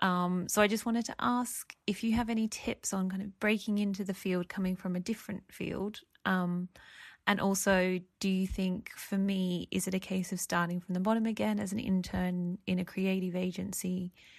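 A woman with an Australian accent speaks in a flat monotone, her voice somewhat breathy over a quiet background. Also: medium pitch for a woman, moderate pace. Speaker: listener sending a voice question. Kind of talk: recorded voice message.

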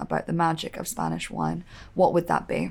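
A woman with a British accent talks at a moderate pace on a very clean recording with a silent background. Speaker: podcast host. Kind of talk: scripted-style intro and interview. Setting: studio.

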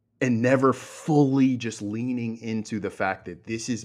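A man talks at a medium pitch over a quiet background. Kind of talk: casual chat.

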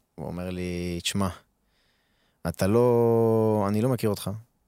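On a very clean recording with a silent background, a man speaks at a moderate pace with a fairly low pitch and ordinary pitch variation. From Israel, Arad. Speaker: professional footballer. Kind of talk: casual interview.

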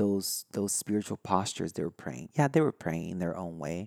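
A dark, mellow tone with a Brazilian accent, in a dry, close sound with no echo. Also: man. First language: Brazilian Portuguese. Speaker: spiritual podcast host. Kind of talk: solo podcast talk. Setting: recorded live online. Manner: halting, many fillers and restarts.

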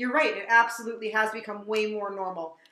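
At a fairly quick pace, a woman with a fairly high pitch speaks with fairly even intonation amid audible room echo. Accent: American. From New Jersey. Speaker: horror podcast host. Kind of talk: casual chat.

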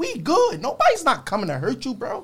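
A man speaks at a moderate pace. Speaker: guest's friend. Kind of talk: casual chat.

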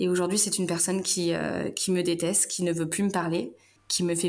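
A woman with a fairly low voice talks in a room with audible echo. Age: 30s. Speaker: mother of two, management assistant. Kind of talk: interview, personal testimony.

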